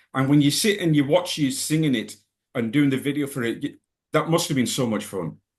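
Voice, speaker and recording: In a Scottish accent, a man with vocal fry talks fairly quickly at a fairly high pitch. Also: ordinary pitch variation. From Scotland. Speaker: music interviewer. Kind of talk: interview.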